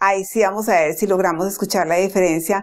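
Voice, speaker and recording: Here is a woman with an ordinary speaking voice at medium pitch and ordinary pitch variation. The recording is very clean, with a silent background. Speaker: Spanish-speaking English teacher. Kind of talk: language lesson to camera.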